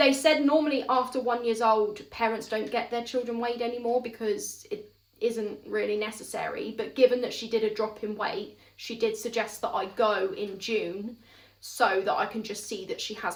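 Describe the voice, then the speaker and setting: A woman with a southern English accent and a fairly high pitch speaks at a moderate pace with ordinary pitch variation. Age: 30s. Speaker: mother, parenting vlogger. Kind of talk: casual talk to camera.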